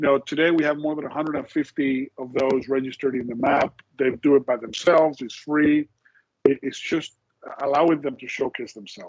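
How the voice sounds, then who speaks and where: With a Spanish accent, a man speaks at a fairly high pitch with fairly even intonation and big swings in loudness. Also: fairly quick pace. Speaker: insurance executive. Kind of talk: interview. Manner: hesitant, many repetitions and fillers.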